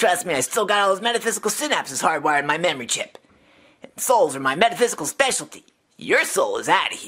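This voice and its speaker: Delivered at a very fast pace, a put-on character voice with fairly high pitch comes through on a very clean recording with a silent background. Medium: solo performance. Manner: sarcastic, chatty.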